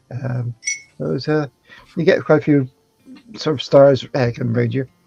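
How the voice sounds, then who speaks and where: Man's medium-pitched voice at a moderate pace with ordinary pitch variation, dry and close with no echo, over music in the background. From England, near the Welsh border by the Forest of Dean. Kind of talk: casual chat. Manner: halting, many fillers.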